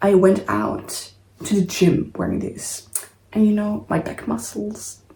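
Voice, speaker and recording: Speaking fairly slowly, a woman talks with a non-native accent. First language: not English. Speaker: sewing vlogger. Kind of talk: casual vlog talk to camera. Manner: casual, with hesitations and self-corrections.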